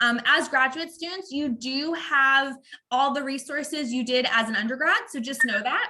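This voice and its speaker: A woman's raised, projected voice, high in pitch, with ordinary pitch variation. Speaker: university staff presenter. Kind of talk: online orientation presentation. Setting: video call. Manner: fast.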